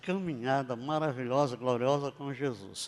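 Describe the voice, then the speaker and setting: This man's voice sits at a fairly high pitch. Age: 80s+. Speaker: pastor. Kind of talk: sermon. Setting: church.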